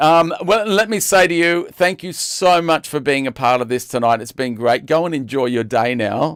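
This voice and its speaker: A man with an Australian accent talks at a moderate pace and a fairly high pitch, using lively intonation and hardly any pauses. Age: 60s. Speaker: online show host. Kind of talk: casual chat. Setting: live stream. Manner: halting.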